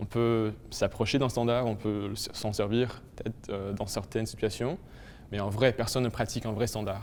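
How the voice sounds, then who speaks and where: Flat and monotone in intonation, a man speaks at a moderate pace in a fairly low voice. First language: English (speaking French). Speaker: linguistics student. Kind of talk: testimony.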